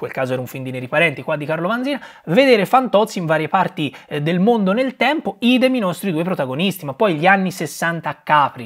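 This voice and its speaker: A high-pitched man with a Tuscan accent, very wide pitch swings and a very fast pace, over a quiet background. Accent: Tuscan Italian. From Tuscany, Italy. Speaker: film reviewer youtuber. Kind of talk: casual film review monologue. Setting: at home beside Christmas tree. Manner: animated. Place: home room.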